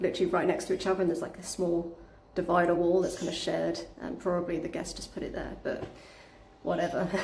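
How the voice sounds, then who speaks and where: Delivered at a very fast pace in a monotone, flat intonation, the voice comes with audible room echo and noticeable background noise. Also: woman. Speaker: Airbnb host and cleaner vlogger. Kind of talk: live stream vlog, casual talk. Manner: casual, many fillers (um, uh, like).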